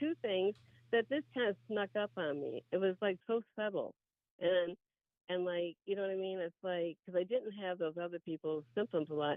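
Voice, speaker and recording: The speaker moves at a moderate pace but leaves long, frequent pauses. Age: 60s. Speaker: patient. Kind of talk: testimony. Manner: halting.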